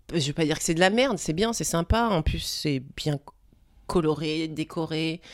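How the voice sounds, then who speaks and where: In a plain, everyday voice, a woman speaks at a fairly low pitch and moderate pace with ordinary pitch variation, on a very clean recording with a silent background. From Paris. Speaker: dancer. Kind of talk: casual chat.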